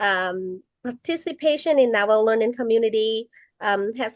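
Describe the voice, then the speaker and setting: Woman at a fairly high pitch, very slow pace, dry, close sound with no echo, and a quiet background. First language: not English. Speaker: college student. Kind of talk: student podcast discussion. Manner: hesitant, many fillers.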